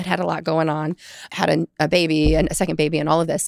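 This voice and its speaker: A woman with a fairly low pitch and vocal fry talks at a very fast pace. The sound is dry and close with no echo, on a very clean recording with a silent background. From US South, small-town Texas. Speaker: chief marketing officer. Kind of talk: interview.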